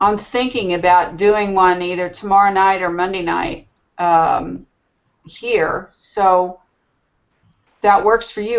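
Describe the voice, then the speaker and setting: Her loudness swings widely from moment to moment. The woman speaks at a medium pitch and a fairly slow pace. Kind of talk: casual chat. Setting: video call.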